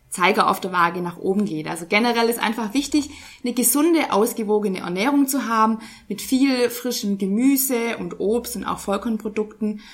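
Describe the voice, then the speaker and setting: A woman speaks at a moderate pace, her fairly high pitch varying in an ordinary way, with noticeable background noise around her. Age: 20s. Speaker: nutrition scientist. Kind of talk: interview.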